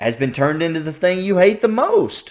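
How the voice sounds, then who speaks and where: This man talks with a slight Southern US accent at a moderate pace. His pitch is high. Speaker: YouTube reaction reviewer. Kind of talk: casual reaction commentary. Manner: animated, halting with repetitions.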